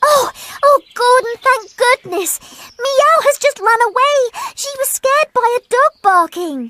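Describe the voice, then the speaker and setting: A squeaky, cartoonish character voice at an extremely high pitch moves at a fairly slow pace. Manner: bright, excitable.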